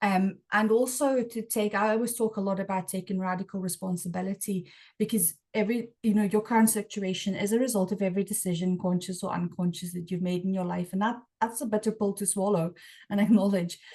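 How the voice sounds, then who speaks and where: With a quiet background, a woman speaks at a very fast pace in a medium pitch, her tone dark and mellow, somewhat breathy, with fairly even intonation. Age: 40s. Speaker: podcast host. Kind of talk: interview conversation. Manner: halting, many repeated words.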